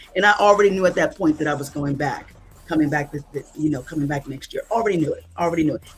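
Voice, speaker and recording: At a very fast pace, a woman talks in a very deep, low pitch with ordinary pitch variation. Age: 60s. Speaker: event planner, church member. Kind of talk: interview.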